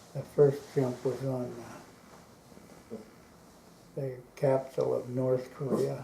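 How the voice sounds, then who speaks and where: A man's medium-pitched, somewhat breathy voice has a dark, mellow tone and monotone, flat intonation, moving at a very slow pace with big swings in loudness. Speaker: war veteran. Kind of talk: interview answer. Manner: hesitant, halting.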